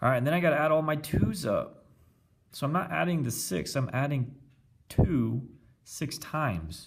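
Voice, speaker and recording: Amid audible room echo, a voice with vocal fry and lively intonation moves at a moderate pace, broken by long, frequent pauses. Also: man, fairly high pitch for a man. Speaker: teacher. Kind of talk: math lesson tutorial. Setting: recorded with iPad video.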